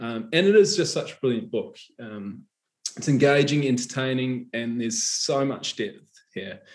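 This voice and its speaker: A man with a New Zealand accent speaks in a medium pitch. His pace is moderate and his intonation lively. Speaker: novelist interviewer. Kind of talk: live author interview. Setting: online live event.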